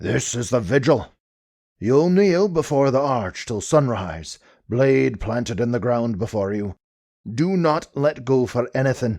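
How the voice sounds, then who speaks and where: A man puts on a booming character voice at medium pitch, raised and projected, speaking at a fairly slow pace against a quiet background. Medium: read story. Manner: commanding, grave.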